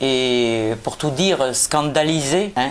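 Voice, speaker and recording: A very slow pace with ordinary pitch variation and noticeable background noise. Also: woman. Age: 60s. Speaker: politician. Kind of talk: prepared statement. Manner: hesitant, many filler sounds.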